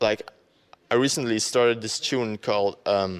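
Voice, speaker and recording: A man with a Flemish accent talks at a moderate pace and a medium pitch. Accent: Belgian (Flemish) accent in English. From Belgium. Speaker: dubstep producer and DJ. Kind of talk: interview. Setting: radio interview. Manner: hesitant, many fillers.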